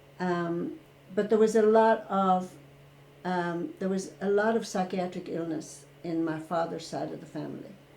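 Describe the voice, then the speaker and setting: This woman has a fairly low pitch and a dark, mellow tone, with fairly even intonation. She talks at a fairly slow pace, and the room echo is audible. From rural Ireland. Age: 60s. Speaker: retired therapist. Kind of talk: interview.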